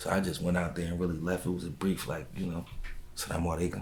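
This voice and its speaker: A very deep, low-pitched man's voice with vocal fry and audible room echo. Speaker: rapper. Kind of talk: interview.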